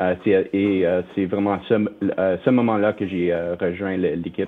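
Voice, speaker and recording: With an English accent, a man speaks at a fairly low pitch and a fairly slow pace in a monotone, flat intonation. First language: English (speaking French). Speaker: company finance executive. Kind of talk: interview. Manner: halting, many fillers.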